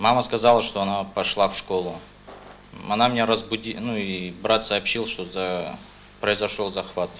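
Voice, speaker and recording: With light background noise, a man talks at a moderate pace and a fairly low pitch in a monotone, flat intonation. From North Ossetia, Russia (Beslan); North Ossetia, Russia. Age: 20s. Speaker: court witness; witness. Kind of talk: court testimony. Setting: courtroom. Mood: tense, subdued. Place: hall.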